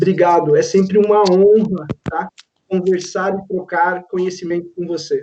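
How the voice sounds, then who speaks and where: The voice has a dark, mellow tone and flat, monotone intonation, moving at a fairly slow pace. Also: man, high pitch for a man. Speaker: professor and panel moderator. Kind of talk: panel moderation.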